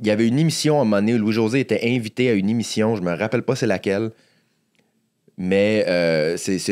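A man with a Quebec accent speaks at a fairly quick pace with fairly low pitch and ordinary pitch variation. Long, frequent pauses break up his speech against a quiet background. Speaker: stand-up comedian. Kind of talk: casual interview. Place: studio. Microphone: studio mic.

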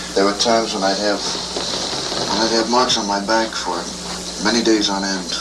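A man talks at a moderate pace as loud background noise fills the recording. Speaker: psychiatric patient being interviewed. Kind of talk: recorded clinical interview answer. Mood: calm, somewhat wry recounting. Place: studio. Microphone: old recording.

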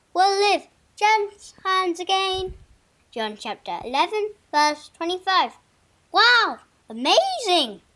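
A put-on character voice speaks in an extremely high pitch. The pace is very slow, with long, frequent pauses. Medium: comedy sketch. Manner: bubbly, enthusiastic.

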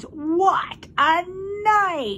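A woman's put-on character voice, pitched extremely high.

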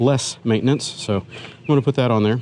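A man speaks in a normal speaking voice at a moderate pace. His pitch varies in an ordinary way over light background noise. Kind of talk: casual vlog chat. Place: street. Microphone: phone near.

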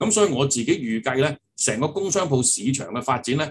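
A man speaks at a moderate pace and medium pitch, sounding somewhat breathy. Light background noise is present. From Hong Kong. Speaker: property agency executive; guest. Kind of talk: interview. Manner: halting, many fillers. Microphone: video call.

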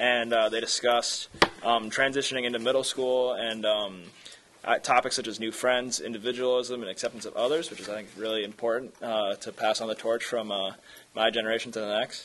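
A man speaks at a fairly quick pace in a monotone, flat intonation, with light background noise behind him. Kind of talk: meeting report. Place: hall.

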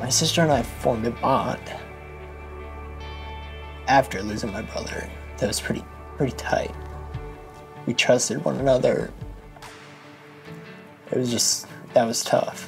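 A man at a moderate pace, with long, frequent pauses and clear music in the background. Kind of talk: interview answer. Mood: emotional, reflective about loss. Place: studio.

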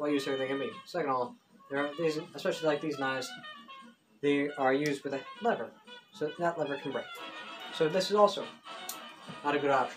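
Over clear music in the background, a man speaks at a very fast pace and fairly high pitch, with long, frequent pauses. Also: ordinary pitch variation. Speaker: mock infomercial host. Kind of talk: joke infomercial-style demonstration talk to camera. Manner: casual, halting. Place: home room. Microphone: camera far.

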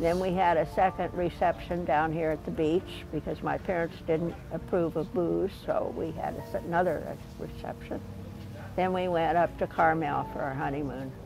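Faint music sounds in the background. A woman talks over it at a moderate pace. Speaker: interviewee. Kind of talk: interview answer. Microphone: lapel.

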